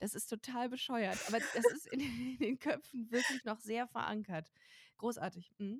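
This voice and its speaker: A woman speaks in a normal speaking voice at a moderate pace, with ordinary pitch variation and a dry, close sound that has no echo. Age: 30s. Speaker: comedy writer and podcast host. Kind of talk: casual chat.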